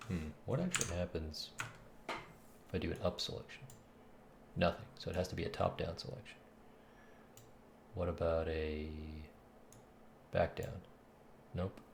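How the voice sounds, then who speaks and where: A soft-spoken man's very deep, low voice at a moderate pace, ordinary pitch variation, and long, frequent pauses. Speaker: game developer streamer. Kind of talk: live coding stream commentary. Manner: thinking aloud, halting.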